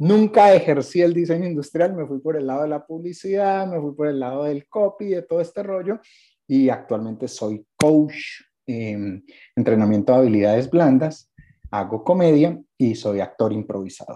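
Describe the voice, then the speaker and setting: A man's dark, mellow tone sits at a fairly high pitch and moves in very wide pitch swings. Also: moderate pace. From Cali, Colombia. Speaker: podcast panelist, advertising copywriter. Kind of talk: casual chat. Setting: video call.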